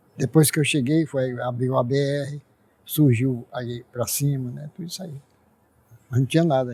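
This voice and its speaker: A man speaks at a moderate pace, leaving long, frequent pauses. His tone is dark, mellow and somewhat breathy, with big swings in loudness. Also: medium pitch for a man. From Ceará, Brazil. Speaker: elderly pioneer resident. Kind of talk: interview.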